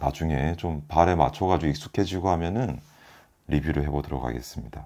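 A man speaks with a very deep, low pitch and a dark, mellow tone. Vocal fry runs through his voice. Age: 40s. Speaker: product reviewer. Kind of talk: product review. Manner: halting, with fillers and repeats. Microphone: phone near.

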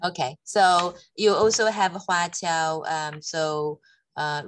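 A woman with a very deep, low pitch speaks over light background noise, the sound dry with no echo. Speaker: education organization manager; webinar moderator. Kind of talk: webinar moderation. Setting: video call. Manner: hesitant, many fillers.

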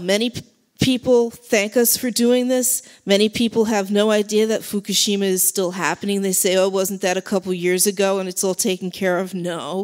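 A woman at a moderate pace with ordinary pitch variation, over a quiet background. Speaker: speaker. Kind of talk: public speech. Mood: earnest, urgent. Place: hall. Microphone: handheld.

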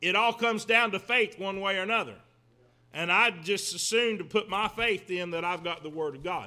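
A man's raised, projected voice with a bright, sharp tone. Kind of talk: sermon-style lecture. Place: church. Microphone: podium.

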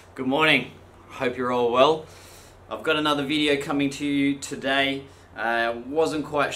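Light background noise sits under a man's voice with fairly even intonation. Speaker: artist vlogger. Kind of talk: casual vlog chat. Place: home room. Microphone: phone near.

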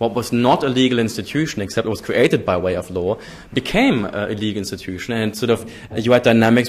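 Speaking with a German accent, a man uses a medium pitch and fairly even intonation. He moves at a fairly quick pace. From Germany. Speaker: political scientist; keynote speaker. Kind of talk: lecture. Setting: stage with audience. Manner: formal. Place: hall. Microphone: podium.

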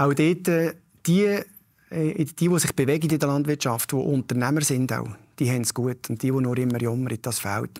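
On a very clean recording with a silent background, a man talks at a fairly quick pace with ordinary pitch variation. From Canton of Lucerne, Switzerland. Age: 50s. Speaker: local politician. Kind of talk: interview. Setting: stage with audience. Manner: direct.

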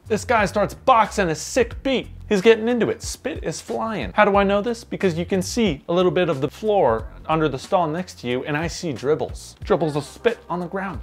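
A man's moderate pace and lively intonation. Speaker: vlogger. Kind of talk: casual storytime vlog chat. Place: home room. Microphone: camera far.

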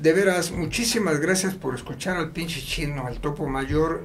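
A man speaks at a fairly slow pace with ordinary pitch variation. Light background noise sits behind him. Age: 70s. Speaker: international rescue worker; guest. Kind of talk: casual interview storytelling; interview answer. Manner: animated, profanity-laced. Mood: casual, joking, swears freely. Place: studio.

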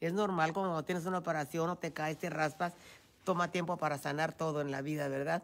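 A woman talks at a fairly quick pace in a fairly low pitch. Her intonation is fairly even. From Mexico, Michoacán. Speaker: host's mother. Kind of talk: casual chat. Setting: outdoors. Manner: soft-spoken. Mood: warm, reflective about healing. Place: hall. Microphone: phone near.

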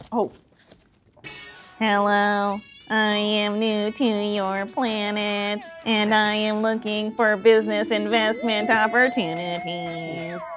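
A woman uses a put-on, robotic character voice at a medium pitch and a very slow pace. Faint music plays in the background. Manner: stilted, robotic.

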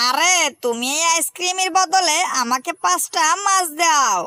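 A put-on character voice with an extremely high pitch at a moderate pace. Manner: lively, hawker's calling.

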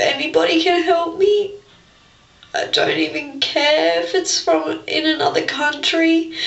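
With audible room echo around her, a woman speaks at a fairly slow pace in an Australian accent. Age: 20s. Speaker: vlogger with a skin-picking disorder; personal vlogger. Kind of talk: personal testimony vlog. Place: bathroom. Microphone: webcam.

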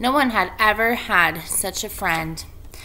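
With lively intonation, the unforced reading voice moves along.

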